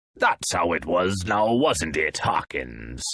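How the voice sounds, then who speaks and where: A man puts on a character voice with a very deep, low pitch and very wide pitch swings. He goes at a fairly slow pace in a dry, close sound with no echo. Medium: audio drama. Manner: friendly, jovial.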